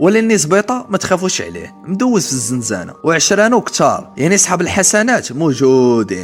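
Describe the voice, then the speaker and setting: A man talks at a moderate pace in a high pitch, with very wide pitch swings. Music plays in the background. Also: hardly any pauses. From Morocco. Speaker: storyteller. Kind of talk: true crime story narration.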